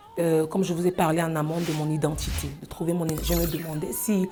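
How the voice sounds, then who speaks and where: The speaker talks at a moderate pace in a flat monotone. Background noise is noticeable. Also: woman. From Cameroon. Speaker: singer. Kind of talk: interview. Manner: hesitant, many fillers.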